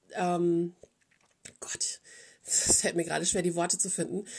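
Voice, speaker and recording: In a very clean recording with a silent background, a woman speaks at a fairly slow pace and a medium pitch. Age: 40s. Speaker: podcast host. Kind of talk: casual monologue.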